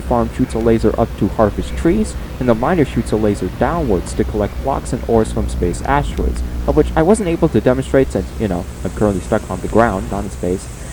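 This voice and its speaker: The speech moves at a fairly quick pace with hardly any pauses. Music plays in the background. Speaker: gaming YouTuber. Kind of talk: tutorial. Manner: halting.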